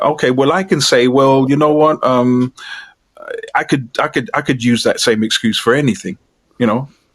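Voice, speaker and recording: At a moderate pace, a man talks in a medium pitch with ordinary pitch variation and very even loudness. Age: 60s. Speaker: spiritual discussion guest. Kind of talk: casual chat. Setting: live online stream. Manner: halting.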